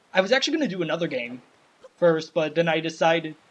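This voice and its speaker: This man's voice sits high in pitch. He talks at a fairly quick pace. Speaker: let's play gaming youtuber. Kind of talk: gameplay commentary. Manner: stutters over words.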